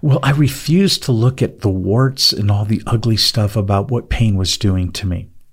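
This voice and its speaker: Speaking at a moderate pace, a man with a medium-pitched, somewhat breathy voice uses ordinary pitch variation in a very clean recording with a silent background. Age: 60s. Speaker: podcast co-host, chronic pain survivor. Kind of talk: faith-based podcast conversation.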